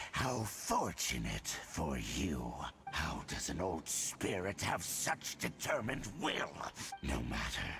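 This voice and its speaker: A menacing put-on character voice at a fairly slow pace, with clear background noise. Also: man. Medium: video game. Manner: menacing, grandiose.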